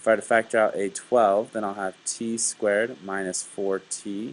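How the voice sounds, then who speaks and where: A man with a normal speaking voice, fairly low in pitch, at a fairly slow pace. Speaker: math teacher. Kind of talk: tutorial. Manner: casual.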